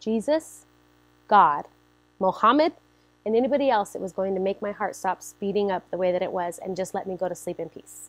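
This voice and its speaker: An energetic woman with an American accent, medium in pitch, at a fairly quick pace with ordinary pitch variation. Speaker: church member sharing testimony. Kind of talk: testimony. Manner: loud, energetic.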